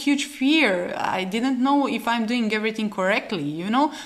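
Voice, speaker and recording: A woman talks at a moderate pace with a fairly high pitch and lively intonation. Noticeable background noise can be heard. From Croatia. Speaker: biologist and researcher. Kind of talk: podcast interview. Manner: halting.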